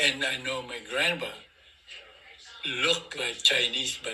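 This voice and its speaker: A man speaks over noticeable background noise. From Philippines. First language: Filipino language. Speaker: great-grandfather interviewee. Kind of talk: family interview. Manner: halting.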